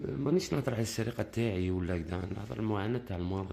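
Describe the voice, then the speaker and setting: Soft-spoken, a man with an Algerian accent talks with ordinary pitch variation. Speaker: bird keeper asking for help. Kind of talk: appeal for help. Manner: halting.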